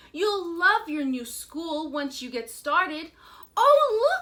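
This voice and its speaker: Using a put-on character voice, a woman speaks at a very slow pace in an extremely high pitch, with very wide pitch swings and big swings in loudness. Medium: read story. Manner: warm, coaxing.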